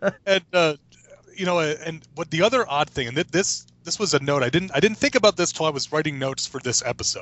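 A man talks at a fairly quick pace with lively intonation and a fairly high pitch. He has a normal speaking voice. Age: 30s. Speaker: podcast co-host. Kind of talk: casual chat.

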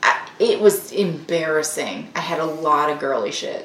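A woman with a Southern US accent talks at a fairly slow pace in a fairly low pitch. Noticeable background noise runs behind her. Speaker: host's wife, co-presenter. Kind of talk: casual chat.

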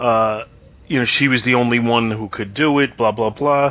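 A man with a medium pitch speaks amid noticeable background noise. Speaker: podcast host. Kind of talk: casual banter, TV episode discussion.

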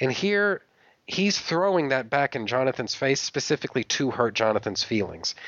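A man speaks in an animated tone at a moderate pace and medium pitch. His pitch swings very widely while his loudness stays very even. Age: 30s. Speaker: podcast host. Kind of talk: casual chat.

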